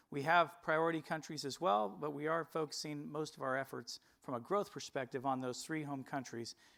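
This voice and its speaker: A man with an American accent speaks at a fairly quick pace and fairly high pitch with fairly even intonation, on a very clean recording with a silent background. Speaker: company executive presenter. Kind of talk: investor presentation. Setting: stage with audience. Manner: formal.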